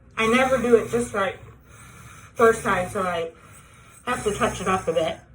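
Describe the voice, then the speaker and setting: Long, frequent pauses from a woman with a fairly high pitch, over noticeable background noise. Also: ordinary pitch variation, moderate pace. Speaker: tracheostomy patient sharing home care tips. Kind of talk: tutorial. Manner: casual, plain.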